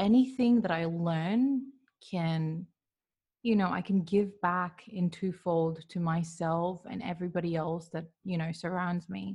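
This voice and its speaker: A woman's fairly low, somewhat breathy voice at a fairly slow pace. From Manchester, England. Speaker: mental health practitioner and coach. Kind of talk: casual interview. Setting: video call from Dubai.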